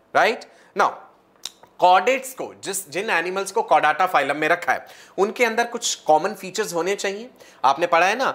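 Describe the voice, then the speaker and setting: Man speaking fairly slowly in a high pitch. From India. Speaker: online biology teacher for medical entrance exam. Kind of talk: live online lecture. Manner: animated.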